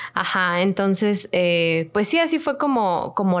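Speaking fairly slowly, a woman delivers her words. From Mexico. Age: 20s. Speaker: podcast co-host. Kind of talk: casual chat.

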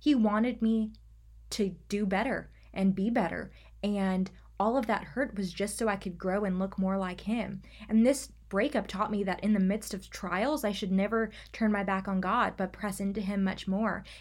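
An unremarkable speaking voice at a moderate pace, with fairly even intonation on a very clean recording with a silent background. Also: woman. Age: 20s. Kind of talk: solo faith talk podcast.

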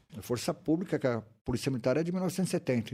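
A man with a dark, mellow tone talks at a fairly quick pace, his pitch swinging very widely. The recording is very clean, with a silent background. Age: 50s. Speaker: retired military police sergeant. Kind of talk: casual interview chat.

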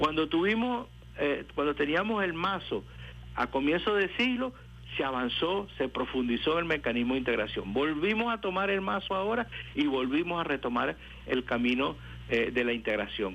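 This man's pitch is fairly high and swings very widely. His loudness stays very even throughout. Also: moderate pace. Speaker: professor and political analyst. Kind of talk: radio interview. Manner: halting.

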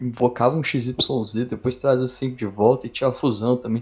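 This man's medium-pitched voice stays monotone, with flat intonation throughout. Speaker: card game player. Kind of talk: casual chat.

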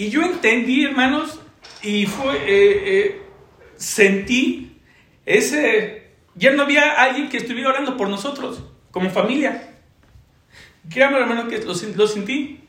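Extremely high-pitched male voice, very slow, with lively intonation, long and frequent pauses, and audible room echo. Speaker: church evangelism leader. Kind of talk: testimony.

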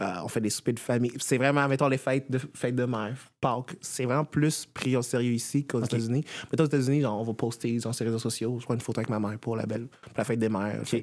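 A man speaks very fast at a medium pitch with fairly even intonation. The recording is very clean, with a silent background. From Florida, US (Miami, West Palm Beach). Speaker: dance teacher. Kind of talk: interview.

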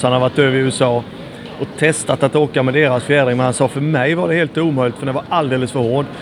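Fairly quick and fairly even in intonation, a man with a medium pitch speaks over noticeable background noise. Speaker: former motocross racer and dealer. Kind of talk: casual chat. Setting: airport.

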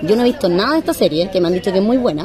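With a Chilean accent and very wide pitch swings, a woman speaks over crowd noise in a room with audible echo. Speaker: podcast host. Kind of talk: casual chat. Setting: in a bar.

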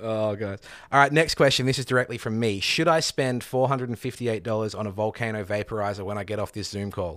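On a very clean recording with a silent background, a man rattles along very fast with hardly any pauses and ordinary pitch variation. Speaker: podcast host. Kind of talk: casual interview chat.

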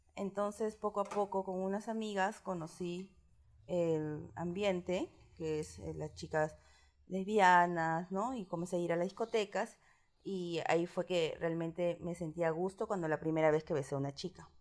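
A woman with a normal speaking voice talks at a moderate pace and fairly low pitch. Her intonation is fairly even, and the recording is very clean with a silent background. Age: 30s. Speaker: interviewee sharing coming-out story. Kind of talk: personal testimony interview.

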